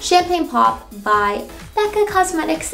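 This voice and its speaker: A woman's voice comes through with faint music behind it. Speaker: beauty vlogger. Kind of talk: casual makeup tutorial chat. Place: bathroom.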